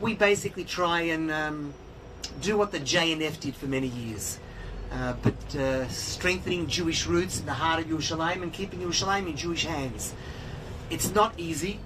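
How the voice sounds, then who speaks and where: An Australian accent at a moderate pace over noticeable background noise. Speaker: tour guide and organization spokesperson. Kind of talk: guided tour talk. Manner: hesitant with many fillers.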